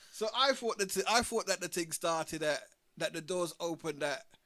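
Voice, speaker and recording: A man speaks loudly at a moderate pace, his voice high-pitched. His tone is bright and sharp, with lively intonation. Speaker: vlogger. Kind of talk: casual chat. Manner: halting.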